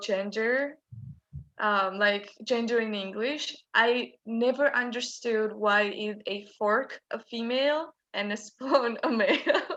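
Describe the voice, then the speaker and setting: In a Georgian accent, a bright, sharp voice moves at a very slow pace with fairly even intonation. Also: woman. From Georgia, small town near Tbilisi. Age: 20s. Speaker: politics student. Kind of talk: casual chat.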